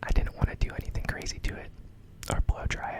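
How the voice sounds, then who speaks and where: Over noticeable background noise, a man whispers at a very fast pace. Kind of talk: casual intro talk to camera. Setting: recorded at home late at night. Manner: whispered, soft-spoken.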